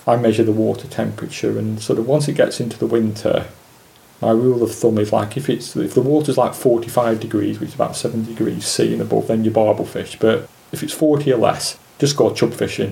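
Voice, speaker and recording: A man talks at a fairly quick pace with a Lancashire accent. There is noticeable background noise. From Lancashire, England (Preston). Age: 50s. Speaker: specimen angler. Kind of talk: interview.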